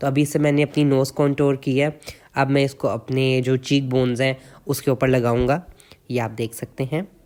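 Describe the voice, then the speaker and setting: Monotone and flat, a man's medium-pitched voice holds a moderate pace. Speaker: makeup artist. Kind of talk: tutorial. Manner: casual with fillers.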